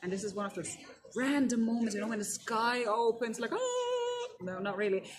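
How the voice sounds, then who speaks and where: Amid noticeable background noise and audible room echo, a woman talks at a fairly quick pace in a fairly high pitch. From Germany. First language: German. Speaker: keynote speaker. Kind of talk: interview. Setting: conference.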